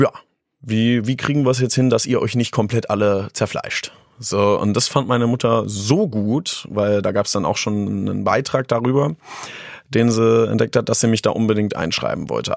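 With ordinary pitch variation, a man uses a normal speaking voice at a medium pitch and a moderate pace. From Lower Saxony, Germany (Harz region near Göttingen). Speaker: beatboxer and street musician. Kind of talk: interview. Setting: studio.

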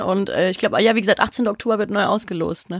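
Using an ordinary speaking voice, a woman talks at a fairly quick pace, fairly high in pitch with ordinary pitch variation. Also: dry, close sound with no echo. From Odenwald, southern Hesse. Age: 20s. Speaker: football podcast co-host and journalist. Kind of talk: casual chat.

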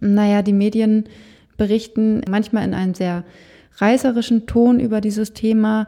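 A woman speaks at a moderate pace in a fairly high voice with a dark, mellow tone. Her intonation is monotone and flat. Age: 20s. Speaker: death doula and funeral director. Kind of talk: interview.

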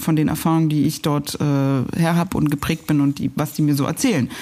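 Speech comes at a very fast pace. A dark, mellow tone colors it. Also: woman. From East Berlin (Pankow), Germany. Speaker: journalist and TV news presenter. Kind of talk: casual interview over a meal. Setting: at a dining table, eating. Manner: hesitant, many fillers.

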